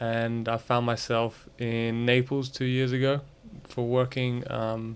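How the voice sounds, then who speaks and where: The man's medium-pitched voice stays monotone, with flat intonation. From Italy. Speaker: tennis coach. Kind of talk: casual chat.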